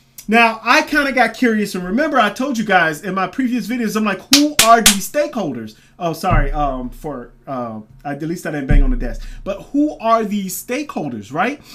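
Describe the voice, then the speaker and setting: A man speaks in a high pitch with a raised, projected voice and very wide pitch swings. Noticeable background noise runs underneath. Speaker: crypto commentary youtuber. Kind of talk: casual video commentary. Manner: fast; halting, many fillers.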